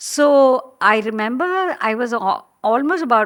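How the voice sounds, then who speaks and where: In a very clean recording with a silent background, a woman speaks with a Tamil accent and lively intonation. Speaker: professional storyteller. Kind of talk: interview. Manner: hesitant, many fillers.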